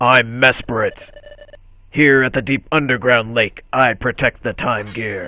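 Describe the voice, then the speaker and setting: A man puts on a gruff character voice in a solemn tone, at a medium pitch. He speaks at a fairly slow pace with fairly even intonation. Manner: solemn, guarding.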